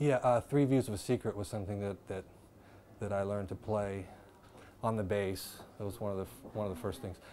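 In an American accent, a dark, mellow voice moves at a fairly quick pace with ordinary pitch variation and long, frequent pauses over light background noise. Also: man, fairly low pitch for a man. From US Midwest (Dayton, Ohio); Ohio. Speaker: jazz bass player; interviewee. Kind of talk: interview. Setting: filmed interview. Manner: halting, many repetitions. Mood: calm, reflective. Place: bar. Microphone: lapel.

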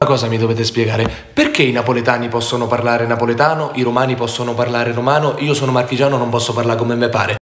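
At a very fast pace, a man with a medium pitch speaks amid audible room echo. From Marche, Italy. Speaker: social media comedian and actor. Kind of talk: comedic sketch clip. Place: home room. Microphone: phone near.

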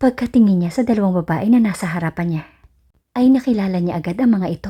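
Medium in pitch, a woman speaks at a very fast pace in a dark, mellow tone that is somewhat breathy. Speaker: storyteller narrator. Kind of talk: scripted narration.

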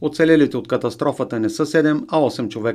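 A man with a plain, everyday voice, fairly high in pitch, at a fairly quick pace, on a very clean recording with a silent background. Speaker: news reporter. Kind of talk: news reading.

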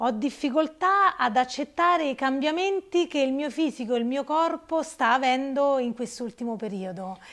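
Hardly pausing, a woman talks at a moderate pace with a high pitch and lively intonation. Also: quiet background. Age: 50s. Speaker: participant in fitness coaching program; interviewee. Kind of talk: interview testimony; interview answer. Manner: halting. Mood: emotional, reflective. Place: shop. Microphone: lapel.

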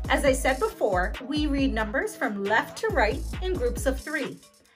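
A woman in an American accent with very wide pitch swings at a fairly slow pace, with clear music in the background. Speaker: English as a second language teacher. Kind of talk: educational tutorial narration. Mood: friendly, upbeat. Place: home room. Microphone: lapel.

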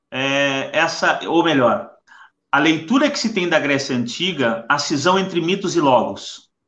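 Against audible room echo, a man with a fairly high pitch speaks at a fairly slow pace with very wide pitch swings. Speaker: live stream host. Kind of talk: casual chat. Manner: halting. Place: home room. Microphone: webcam.

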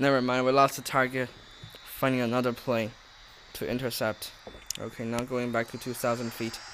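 A man speaks at a moderate pace and medium pitch, with a monotone, flat intonation. His long, frequent pauses sit over noticeable background noise. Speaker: gaming YouTuber. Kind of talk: casual gaming commentary. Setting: home recording with game audio. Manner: casual, chatty, jokey.

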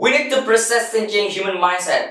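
A man speaks at a high pitch. Room echo can be heard. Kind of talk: contest speech. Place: empty room.

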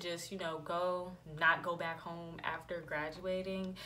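Noticeable background noise sits behind a woman speaking at a moderate pace in a fairly low pitch. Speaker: beauty vlogger. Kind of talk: casual vlog chat. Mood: relaxed, reflective. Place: home room. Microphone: phone near.

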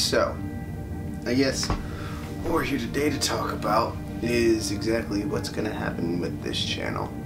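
Clear music sounds in the background as a man speaks at a fairly slow pace. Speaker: YouTuber. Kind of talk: casual talk to camera. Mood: reflective, subdued. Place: home room. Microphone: phone near.

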